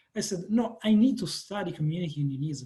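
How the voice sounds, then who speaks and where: A man speaks in an Italian accent with a dark, mellow tone. His pitch swings very widely. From Italy. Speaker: professor. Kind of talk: panel discussion.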